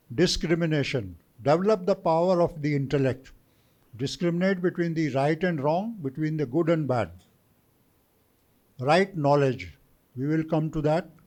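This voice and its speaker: This man has a fairly high pitch and ordinary pitch variation. He keeps a moderate pace with long, frequent pauses. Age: 60s. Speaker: retired army officer, guest speaker. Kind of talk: lecture. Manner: mixes Hindi and English.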